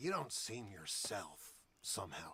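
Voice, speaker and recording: Speaking at a fairly slow pace, a man puts on a character voice. His medium-pitched voice is raspy. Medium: video game.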